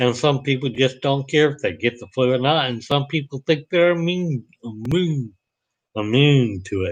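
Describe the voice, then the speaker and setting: This man has a Southern US accent and a fairly high pitch. His pitch varies in an ordinary way. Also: moderate pace. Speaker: vlogger. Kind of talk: live stream monologue. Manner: halting.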